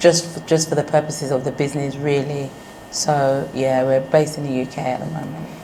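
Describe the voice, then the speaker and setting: Over noticeable background noise, a woman with a very deep, low pitch talks at a fairly quick pace in a monotone, flat intonation. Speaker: business owner. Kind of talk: interview.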